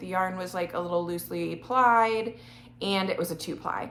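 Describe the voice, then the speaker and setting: At a moderate pace, a woman speaks in a plain, everyday voice with a medium pitch and ordinary pitch variation. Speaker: knitting vlogger. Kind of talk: casual chat.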